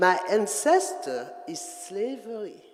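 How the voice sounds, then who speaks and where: Very slow speech in a French accent, with music in the background. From Guadeloupe. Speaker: dancer. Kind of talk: artist talk to audience. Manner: halting.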